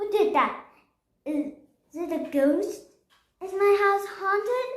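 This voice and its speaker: A woman's put-on character voice at extremely high pitch and a fairly slow pace, with a slight echo. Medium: read story. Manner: exclamatory, flustered.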